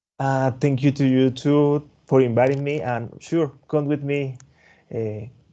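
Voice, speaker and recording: A man speaks at a fairly slow pace with a Spanish accent, his tone dark and mellow and his intonation fairly even. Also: medium pitch for a man. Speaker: tech presenter, developer advocate. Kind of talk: webinar closing remarks. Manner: halting, repeats words.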